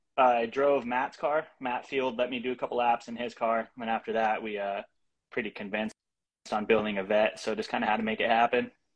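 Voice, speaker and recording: At a fairly quick pace, a man with an American accent speaks at medium pitch with fairly even intonation. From US Pacific Northwest, Bremerton, Washington. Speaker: drift racing driver. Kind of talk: casual interview. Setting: video call with poor internet.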